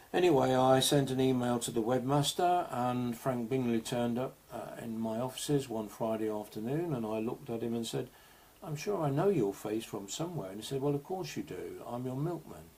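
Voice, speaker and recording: A man with an English accent speaks at a fairly quick pace. His pitch sits in the medium range and varies in an ordinary way. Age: 60s. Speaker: digital health advocate and author. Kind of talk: presentation.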